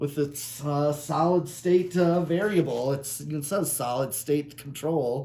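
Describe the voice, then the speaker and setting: A man speaks very slowly in a fairly high voice with ordinary pitch variation and hardly any pauses. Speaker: ceiling fan collector and video maker. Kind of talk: casual product demo. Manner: halting, many fillers.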